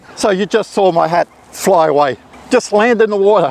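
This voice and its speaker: A man with a high voice talks at a moderate pace with lively intonation, his sound dry and close with no echo, over noticeable background noise. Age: 60s. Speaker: photography youtuber. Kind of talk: tutorial. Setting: outdoors. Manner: casual, chatty.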